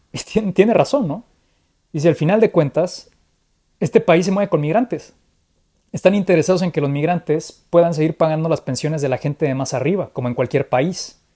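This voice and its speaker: Fairly quick speech in a Mexican accent. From Mexico. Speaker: political commentator. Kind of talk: conversational political analysis. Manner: animated, with frequent repetitions.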